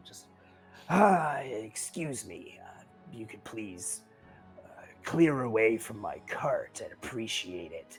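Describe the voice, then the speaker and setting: A man puts on a character voice at a medium pitch, talking at a fairly slow pace with long, frequent pauses and big swings in loudness over clear background music. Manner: curt, polite but cold.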